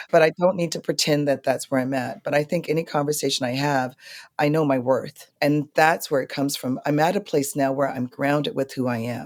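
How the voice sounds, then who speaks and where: A woman with an American accent, a very deep, low pitch and ordinary pitch variation, calm in tone and fairly quick, in a very clean recording with a silent background. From New York. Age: 50s. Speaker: blues singer. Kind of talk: interview conversation.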